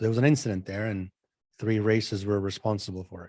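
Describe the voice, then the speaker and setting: Here a man talks at a fairly quick pace. His pitch is fairly low and his intonation fairly even. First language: not English (English is third language). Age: 40s. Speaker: spiritual channeler. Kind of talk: casual interview chat.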